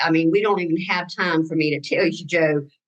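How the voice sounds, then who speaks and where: A woman with a Southern US accent talks in a fairly low voice with fairly even intonation. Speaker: cancer survivor. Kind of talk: testimony. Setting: video call. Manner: halting.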